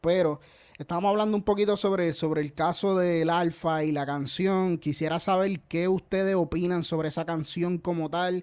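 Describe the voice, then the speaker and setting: A man talks in a Puerto Rican accent at a high pitch. His intonation stays fairly even. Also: very clean recording, silent background. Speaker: podcast host. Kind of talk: casual chat. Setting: live stream.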